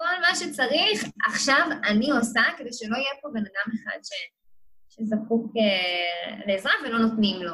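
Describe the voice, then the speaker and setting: A woman with a bright, sharp tone and a fairly high pitch speaks at a fairly slow pace, her intonation lively. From Israel, Kiryat Motzkin. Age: 20s. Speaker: social work student. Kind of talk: interview.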